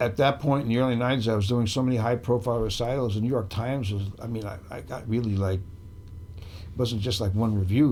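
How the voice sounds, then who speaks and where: Over audible room echo, a man speaks at a fairly quick pace in a somewhat breathy voice of medium pitch. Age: 70s. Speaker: bass trombonist. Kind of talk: interview conversation. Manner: casual, halting.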